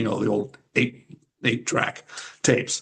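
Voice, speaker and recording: A somewhat breathy man speaks at a moderate pace. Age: 70s. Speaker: retired champion wrestler and wrestling instructor. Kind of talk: interview. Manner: rambling, many fillers.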